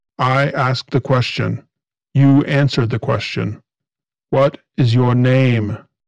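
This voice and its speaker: Putting on a robotic character voice, a man speaks fairly slowly at a medium pitch. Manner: cold, commanding, threatening.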